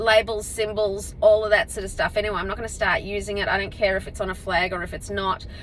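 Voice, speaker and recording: A woman's fairly high-pitched voice at a fairly quick pace, with noticeable background noise. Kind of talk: casual vlog monologue. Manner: loud; projecting.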